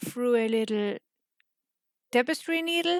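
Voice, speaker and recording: A woman with a high pitch and lively intonation is heard in a dry, close sound with no echo. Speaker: crochet tutorial creator. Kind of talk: tutorial.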